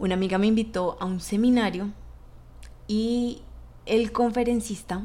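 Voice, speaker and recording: A woman is talking at a moderate pace. The tone of her voice is dark and mellow. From Bogotá, Colombia. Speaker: podcast host and leadership coach. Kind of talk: solo motivational podcast talk.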